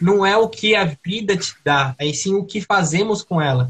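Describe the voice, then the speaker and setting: Speaking with a Brazilian accent, a man keeps a fairly slow pace. His pitch varies in an ordinary way. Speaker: podcast co-host. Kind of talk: casual chat.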